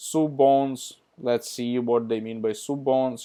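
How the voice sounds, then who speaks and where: A man with a non-native accent speaks at a fairly slow pace and medium pitch. His tone is dark and mellow, and his intonation is monotone and flat. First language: not English. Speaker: tutorial youtuber. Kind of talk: screen-share tutorial. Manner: casual, hesitant with fillers.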